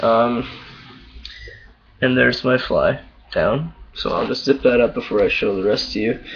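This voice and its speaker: Noticeable noise sits behind a man who talks fairly slowly. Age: young. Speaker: vlogger. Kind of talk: casual video diary. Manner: hesitant, many fillers.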